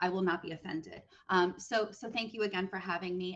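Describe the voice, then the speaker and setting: In a New York accent, the speech comes at a fairly quick pace. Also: woman. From US Northeast, New York City. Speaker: online community manager. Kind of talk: webinar interview. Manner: fast.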